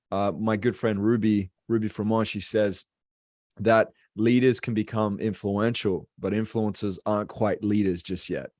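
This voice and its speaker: Against a quiet background, a man with an Australian accent and a fairly low pitch speaks at a moderate pace in a flat monotone. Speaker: business coach and speaker. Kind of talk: casual interview.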